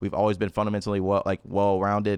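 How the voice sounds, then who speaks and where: A speaker with an American accent is heard in a dry, close sound with no echo against a quiet background. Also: man. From US South, Memphis, Tennessee. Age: 20s. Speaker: esports pro player. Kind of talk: casual chat.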